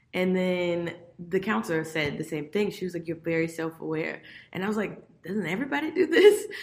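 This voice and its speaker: A woman with an American accent has a normal speaking voice, fairly low in pitch. She talks at a fairly quick pace with ordinary pitch variation. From Miami, Florida. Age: 30s. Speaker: corporate business development manager. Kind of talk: interview podcast.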